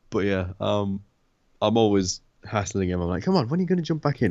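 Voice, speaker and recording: This man, pitched fairly low, talks at a very fast pace with lively intonation over a quiet background. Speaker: gaming podcast co-host. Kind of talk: casual chat. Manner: hesitant, many fillers.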